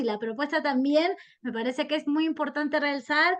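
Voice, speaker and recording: At a moderate pace, a woman talks in a high voice. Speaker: historian. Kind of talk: interview. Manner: halting.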